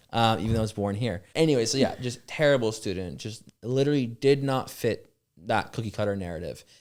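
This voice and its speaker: The speaker has a Californian accent and ordinary pitch variation. The pace is fairly quick. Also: man, medium pitch for a man. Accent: Californian American. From Los Angeles area, US. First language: French. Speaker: startup founder. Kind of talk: casual interview chat. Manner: fast, filler-heavy speech.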